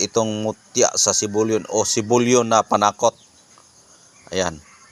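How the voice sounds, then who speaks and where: A man speaks in a Visayan accent at a moderate pace with fairly even intonation. The sound is dry and close, with no echo. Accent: Visayan-accented Tagalog. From Visayas or Mindanao, Philippines. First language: Bisaya (Cebuano) (speaking Tagalog). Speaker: vlogger. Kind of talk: casual vlog talk.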